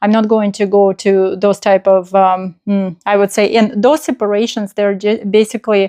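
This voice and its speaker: With a non-native accent, a woman speaks in a dark, mellow tone at a moderate pace, her intonation fairly even against a quiet background. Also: medium pitch for a woman, dry, close sound with no echo. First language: not English. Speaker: spiritual channel host. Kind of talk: spontaneous spiritual talk. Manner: halting, many fillers.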